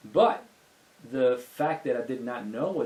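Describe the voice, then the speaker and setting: There is noticeable background noise behind the voice. A man talks at medium pitch and a moderate pace with ordinary pitch variation. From Italy, Venice. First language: Italian. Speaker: music industry entrepreneur. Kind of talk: podcast interview.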